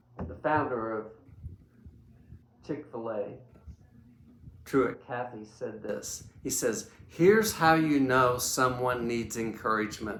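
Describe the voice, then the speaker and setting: A man of medium pitch speaks very slowly, with long, frequent pauses and ordinary pitch variation. His loudness swings widely, and the room echo is audible. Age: 70s. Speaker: leadership coach and speaker. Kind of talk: talk to camera about a book. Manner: halting, with repeated words.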